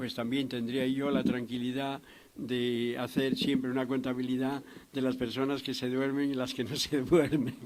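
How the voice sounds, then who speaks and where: Intonation stays monotone and flat throughout. Audible room echo and noticeable background noise fill the recording. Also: man. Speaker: psychiatrist lecturer. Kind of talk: lecture. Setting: lecture hall with audience.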